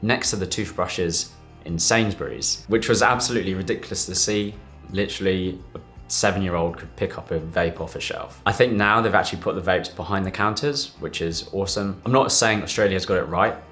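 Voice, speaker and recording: A man's fairly low voice, fairly quick, with ordinary pitch variation and music in the background. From UK. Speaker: doctor. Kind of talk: casual talk to camera.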